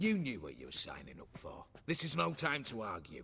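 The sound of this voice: Doing a put-on character voice, a man speaks at a fairly quick pace from a medium pitch, with very wide pitch swings, vocal fry and a bright, sharp tone.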